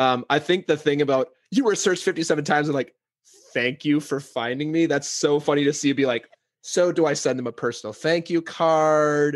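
The intonation stays fairly even. It is an ordinary speaking voice. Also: man, fairly high pitch for a man. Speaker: podcast host. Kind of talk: casual podcast interview talk.

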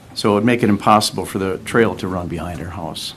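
A man talks at a fairly quick pace, and audible room echo comes through. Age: 70s. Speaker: resident speaking at public forum. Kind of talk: public comment at council meeting. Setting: city council meeting. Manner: formal.

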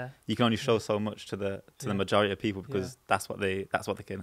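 In a Birmingham accent, a man talks at a fairly quick pace and fairly low pitch with fairly even intonation against a quiet background. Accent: Birmingham (Brummie) English. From Birmingham, England. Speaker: panel show guest. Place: studio. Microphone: studio mic.

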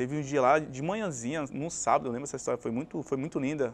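A man speaks at a fairly high pitch, with ordinary pitch variation. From Brazil, Cubatão (São Paulo coast); São Paulo, Brazil. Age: 30s. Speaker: former professional footballer; guest. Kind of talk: interview. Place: studio. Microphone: lapel.

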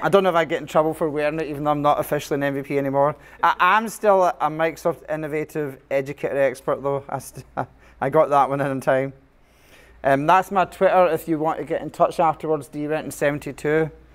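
Speaking with a Scottish accent, a man talks at a fairly quick pace. His pitch is fairly high and his intonation fairly even. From Scotland. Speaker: computer science teacher. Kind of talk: conference presentation.

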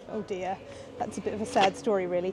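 Music plays in the background while a woman talks. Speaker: history lecturer. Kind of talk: ghost story telling. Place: street. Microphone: lapel.

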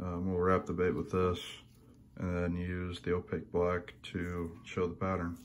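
Here a man talks at a moderate pace in a very deep, low voice. His intonation is monotone and flat, over light background noise. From Indiana. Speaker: lure painter. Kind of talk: tutorial. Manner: casual, hesitant with many fillers. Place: home room. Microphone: phone near.

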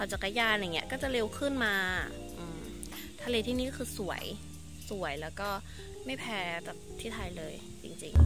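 A woman's voice sounds dry with no echo, with clear music in the background. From Khon Kaen, Isan, northeastern Thailand. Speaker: vlogger. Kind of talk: casual vlog talk to camera. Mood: reflective, slightly uneasy. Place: garden. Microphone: phone near.

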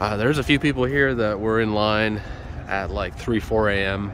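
A man talks at a fairly low pitch with fairly even intonation. The sound is dry with no echo, though noticeable background noise comes through. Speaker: concert fan vlogger. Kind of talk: casual vlog chat. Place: street. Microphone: phone near.

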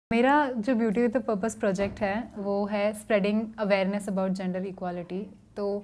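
A woman with a medium pitch talks in fairly even intonation. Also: moderate pace. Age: 20s. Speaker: beauty pageant winner. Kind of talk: interview. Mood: calm, composed. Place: hall.

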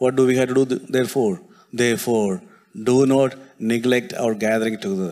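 Speaking with a Keralan accent, a man talks at a fairly quick pace. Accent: Indian English (Malayali). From India, Kerala. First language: Malayalam. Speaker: preacher. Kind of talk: sermon. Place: church. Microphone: handheld.

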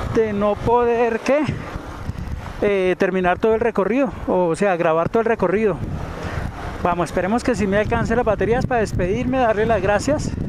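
The speech moves at a moderate pace with long, frequent pauses, in a dry sound with no echo and noticeable background noise. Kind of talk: casual vlog chat. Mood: admiring the view. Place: motorbike. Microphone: helmet.

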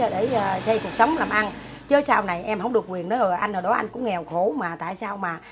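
A woman speaks at a fairly quick pace with ordinary pitch variation, and noticeable background noise can be heard. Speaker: interviewee. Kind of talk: interview answer. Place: home room. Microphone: camera far.

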